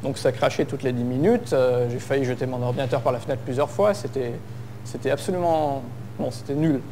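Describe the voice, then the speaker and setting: Audible echo from the room surrounds this male speaker. His pitch moves in a typical way. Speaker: conference speaker, software developer. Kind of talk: tech conference talk. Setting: stage with audience. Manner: hesitant, many fillers.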